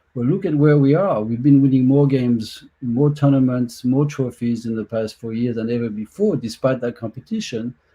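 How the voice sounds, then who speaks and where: With hardly any pauses, a man talks at a moderate pace in a French accent, using ordinary pitch variation. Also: medium pitch for a man. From France. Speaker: soccer executive. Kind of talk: panel discussion.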